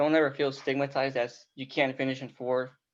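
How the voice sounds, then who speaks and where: Using a normal speaking voice, a man with a fairly high pitch talks at a moderate pace. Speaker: university student. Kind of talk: class introduction over video call. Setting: video call.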